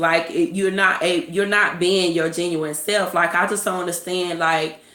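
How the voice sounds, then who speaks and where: Her pitch fairly low, a woman speaks in a monotone, flat intonation. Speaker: vlogger. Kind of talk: casual monologue.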